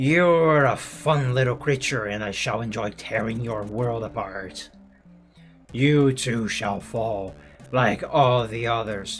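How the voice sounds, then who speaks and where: A man puts on a strained character voice at a medium pitch. He speaks at a fairly slow pace as faint music plays in the background. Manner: menacing.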